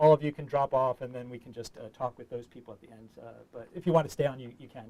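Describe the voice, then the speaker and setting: Very fast and with fairly even intonation, a man with an American accent speaks in a dark, mellow tone. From US Northeast, New York City. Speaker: diplomat, public affairs officer. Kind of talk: online information session presentation. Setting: studio, online call. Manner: hesitant, many filler words.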